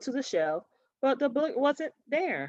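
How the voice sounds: A woman speaks with a fairly high pitch. The sound is dry and close, with no echo.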